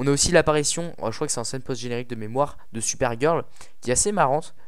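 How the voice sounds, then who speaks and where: Talking at a very fast pace, a man with a medium pitch and ordinary pitch variation is heard with audible room echo. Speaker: film critic YouTuber. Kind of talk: film review monologue. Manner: halting.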